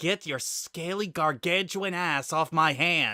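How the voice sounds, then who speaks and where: A man puts on a character voice, pitched high and hissing. He speaks at a fairly slow pace. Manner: hissing through clenched teeth, furious.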